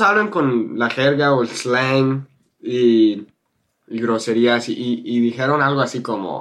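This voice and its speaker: A man in a northern Mexican accent speaks at a very slow pace in a medium pitch. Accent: learned Spanish with northern Mexican. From California, US. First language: English (speaking Spanish). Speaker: YouTuber and Spanish teacher. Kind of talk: interview.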